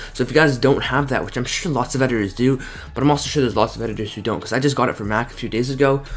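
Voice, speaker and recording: Amid noticeable background noise, a man talks very fast at a medium pitch with fairly even intonation. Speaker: video editing tutorial YouTuber. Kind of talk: screen-recorded tutorial. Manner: casual, filler-heavy.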